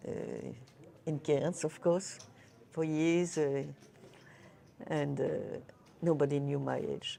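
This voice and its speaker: With fairly even intonation, a woman speaks in a very deep, low pitch. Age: 80s+. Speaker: poker player. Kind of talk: interview. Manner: halting.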